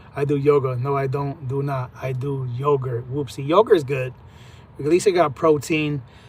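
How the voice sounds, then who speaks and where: The man's voice is fairly high in pitch and somewhat breathy. He keeps a moderate pace with fairly even intonation. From US, raised in Puerto Rican family. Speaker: livestreamer, trucker. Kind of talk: casual live stream chat.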